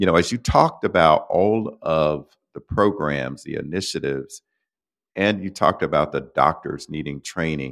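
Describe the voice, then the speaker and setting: This man talks at a fairly slow pace with an American accent. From Florida. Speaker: podcast host. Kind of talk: interview.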